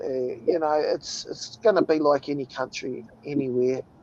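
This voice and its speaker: The speaker has a New Zealand accent. The pace is moderate and the pitch varies in an ordinary way. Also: man. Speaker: livestream host. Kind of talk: casual chat. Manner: casual, profane.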